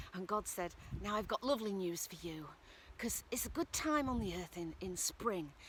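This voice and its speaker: A woman with a Northern English accent, at a moderate pace. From Northern England. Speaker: storyteller. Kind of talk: folk tale storytelling.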